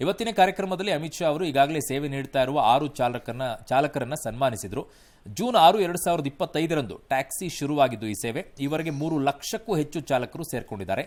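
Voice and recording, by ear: Lively in intonation and fairly high in pitch, a man talks at a fairly quick pace. He leaves few pauses.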